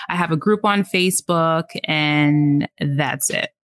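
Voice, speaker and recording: With a New York accent, a woman talks at a fairly low pitch using fairly even intonation. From New York, the Bronx. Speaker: podcast host. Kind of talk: casual chat.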